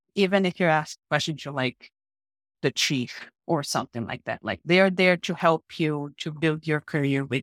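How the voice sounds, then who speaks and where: A woman with a Brazilian accent has a very deep, low pitch. The recording is very clean with a silent background and a dry, close sound with no echo. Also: ordinary pitch variation, moderate pace. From northeast Brazil (Paraíba). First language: Portuguese. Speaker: mining engineer. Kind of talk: interview conversation.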